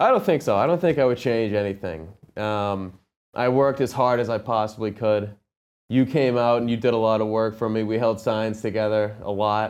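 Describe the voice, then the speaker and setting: A man with an American accent has an ordinary speaking voice at medium pitch and ordinary pitch variation. He talks at a moderate pace against a quiet background. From Massachusetts, Medfield. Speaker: union carpenter and former candidate. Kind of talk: interview.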